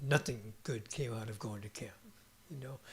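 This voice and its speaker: A gruff, put-on character voice speaks at a moderate pace with ordinary pitch variation. Its loudness swings widely. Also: man, medium pitch for a man. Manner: grumpy, dismissive.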